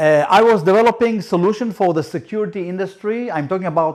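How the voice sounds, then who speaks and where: A man speaks at a moderate pace in a high pitch, with ordinary pitch variation and a quiet background. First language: Hebrew. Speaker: startup founder. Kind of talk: business presentation. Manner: halting.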